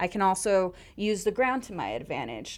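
At a moderate pace, a woman with a medium pitch and ordinary pitch variation talks on a very clean recording with a silent background. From Los Angeles, US. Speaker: MMA fighter and geologist. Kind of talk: casual interview.

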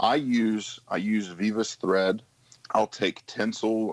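Speaking at a very slow pace, a man with an Appalachian accent uses a fairly low pitch and ordinary pitch variation. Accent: Appalachian American. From West Virginia. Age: 30s. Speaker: firefighter and fly tier. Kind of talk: interview, fly fishing tutorial.

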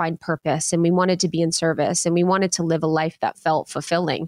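At a fairly quick pace, a woman with a fairly low pitch and a plain, everyday voice talks on a very clean recording with a silent background. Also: dry, close sound with no echo. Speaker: podcast host. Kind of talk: casual interview chat.

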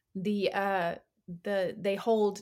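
Over a silent background in a very clean recording, a woman with an American accent speaks very slowly with fairly even intonation. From California. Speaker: actor. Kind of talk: interview.

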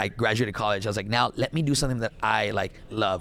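In a very clean recording with a silent background, a man with a South Texas accent talks very fast in a medium-pitched voice with vocal fry. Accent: South Texas Mexican-American English. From Texas, Laredo. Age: 20s. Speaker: gaming streamer. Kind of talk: casual chat.

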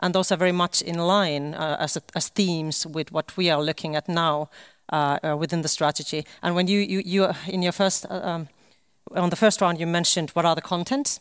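In a very clean recording with a silent background and a dry, close sound with no echo, someone speaks at a moderate pace with a Finnish accent. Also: woman, fairly low pitch for a woman. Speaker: government official. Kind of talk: panel discussion. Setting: stage with live stream.

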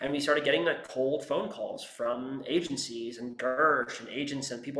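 With noticeable background noise and audible room echo, a man talks at a fairly high pitch with fairly even intonation. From US, San Francisco Bay Area (West Marin). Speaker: screenwriter. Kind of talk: interview.

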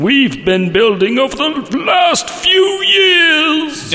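Shouting in a put-on character voice, the speaker goes at a very slow pace. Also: man.

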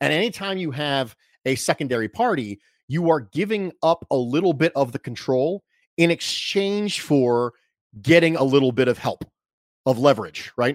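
A man with a fairly high pitch speaks in an ordinary speaking voice, with lively intonation at a moderate pace. The recording is very clean and dry, close and echo-free, with a silent background. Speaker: sports podcaster. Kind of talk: casual interview chat.

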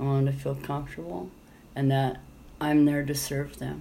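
A woman's voice at a moderate pace, with noticeable background noise. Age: 50s. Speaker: rideshare driver and former nun. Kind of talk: interview. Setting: at home.

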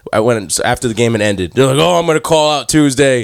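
The clip has a normal speaking voice with ordinary pitch variation. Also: man. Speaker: podcast co-host. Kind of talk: casual chat. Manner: excitable.

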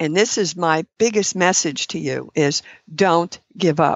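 A woman talks at a fairly slow pace in a plain, everyday voice. Her pitch sits fairly low and varies in an ordinary way. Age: 60s. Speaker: clinician specializing in ketogenic diets. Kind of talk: interview. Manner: laughs often.

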